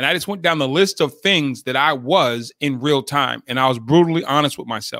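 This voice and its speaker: Talking very fast with an American accent, a man has a fairly high pitch, ordinary pitch variation and a bright, sharp tone on a very clean recording with a silent background. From Boston, Massachusetts. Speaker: leadership development speaker. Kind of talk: interview conversation.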